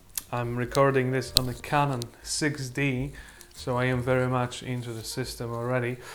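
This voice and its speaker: Over noticeable background noise, a man talks at a moderate pace and medium pitch in a monotone, flat intonation. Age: 20s. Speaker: photography YouTuber. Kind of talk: product review. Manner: halting, many fillers.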